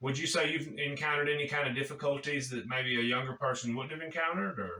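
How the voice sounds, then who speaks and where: A plain, everyday voice, this man's fairly high pitch moves with ordinary pitch variation at a fairly quick pace. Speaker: jiu-jitsu gym owner. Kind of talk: interview host talk.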